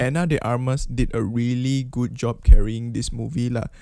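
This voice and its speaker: Over a quiet background, a man speaks in a dark, mellow tone with a dry sound and no echo. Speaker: film reviewer. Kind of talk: casual movie review to camera. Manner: hesitant, stuttering. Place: home room. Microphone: studio mic.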